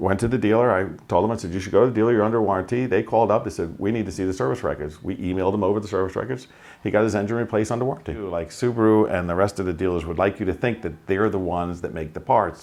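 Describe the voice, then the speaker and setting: Very fast speech with a Long Island accent, hardly any pauses and ordinary pitch variation. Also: man, fairly low pitch for a man. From Long Island, New York. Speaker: auto repair shop owner. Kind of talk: interview answer. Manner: casual, conversational.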